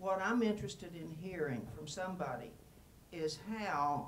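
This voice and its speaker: Noticeable background noise and audible room echo fill the recording. A woman speaks over them at a moderate pace. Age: 70s. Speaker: audience member asking a question. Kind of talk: audience question at panel. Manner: halting.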